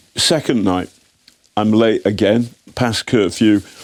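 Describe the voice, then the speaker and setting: A man speaks in an English accent. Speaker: investigative journalist. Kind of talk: interview. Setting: studio. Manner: animated, halting with repetitions.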